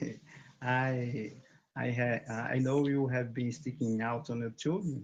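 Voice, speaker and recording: A man with a Brazilian Portuguese accent speaks at a very slow pace in a medium pitch, his intonation fairly even. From Brazil, Bahia. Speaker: English learner, barber. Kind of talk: casual chat. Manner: halting.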